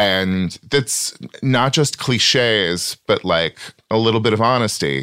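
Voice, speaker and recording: A man with an American accent booms at a fairly low pitch and a very slow pace, his loudness very even and his intonation lively. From small farm town, US. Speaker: stand-up comic and writer. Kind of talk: casual interview chat. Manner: performative stage voice, off-stage private voice.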